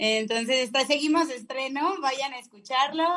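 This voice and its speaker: Her pitch sits high and varies in an ordinary way as the woman talks at a moderate speed. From Mexico, Salamanca, Guanajuato. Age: 30s. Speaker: singer-songwriter. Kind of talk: radio interview.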